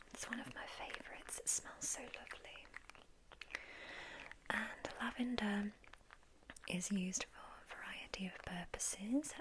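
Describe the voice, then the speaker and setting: A woman whispers at a fairly slow pace, with a calm, gentle tone. Long pauses come often, over noticeable background noise. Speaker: ASMR roleplay sleep doctor. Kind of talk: ASMR sleep clinic roleplay, soft-spoken talk to the listener. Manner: soft-spoken, calm, gentle.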